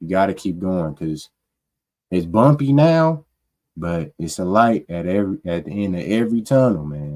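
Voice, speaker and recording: A man's very deep, low voice, dark and mellow, at a fairly slow pace. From Omaha, Nebraska. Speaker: podcast co-host, electrician apprentice. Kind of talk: casual podcast chat. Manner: monotone.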